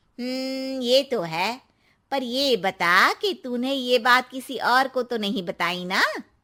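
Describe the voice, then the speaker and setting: A woman's cartoonish character voice, high-pitched with lively intonation at a moderate pace, on a very clean recording with a silent background. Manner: friendly, inquisitive.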